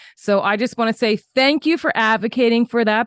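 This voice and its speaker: In a very clean recording with a silent background, a woman with a plain, everyday voice speaks at a fairly quick pace, her pitch fairly high with ordinary variation and the sound dry and close without echo. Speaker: podcast host. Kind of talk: interview question.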